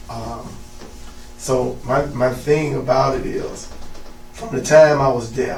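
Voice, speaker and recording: Slowly and with long, frequent pauses, a man in a Southern US accent speaks amid noticeable background noise and audible room echo. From Mississippi. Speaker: youth football coach. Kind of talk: interview.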